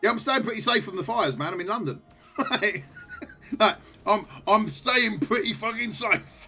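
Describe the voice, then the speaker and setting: A man with a British accent uses a raised, projected voice at a high pitch, lively intonation and a moderate pace, leaving long, frequent pauses while music plays in the background. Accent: British, mistaken for Australian. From England. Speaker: gaming streamer. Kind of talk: casual live-stream chat. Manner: animated.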